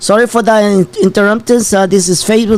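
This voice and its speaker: A man with a high pitch, a moderate pace and a Spanish accent. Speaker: channel host. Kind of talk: live show commentary. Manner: animated.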